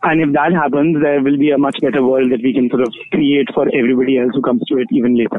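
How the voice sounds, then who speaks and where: Amid noticeable background noise, a man with a fairly high pitch rattles along at a very fast pace with hardly any pauses, very even loudness, and fairly even intonation. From India, Delhi. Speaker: queer feminist activist. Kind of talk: interview. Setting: phone call.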